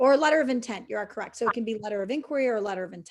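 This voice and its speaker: With an American accent, a woman speaks at a fairly high pitch with ordinary pitch variation. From US Midwest. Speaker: fundraising trainer. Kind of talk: webinar Q&A. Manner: fast.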